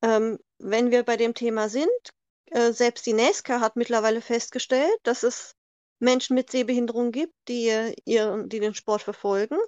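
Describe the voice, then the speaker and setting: Recorded dry and close with no echo, a woman with an unremarkable speaking voice talks at a fairly high pitch and fairly slow pace, her intonation fairly even and her loudness very even. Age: 40s. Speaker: NASCAR fan from online community. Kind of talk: interview.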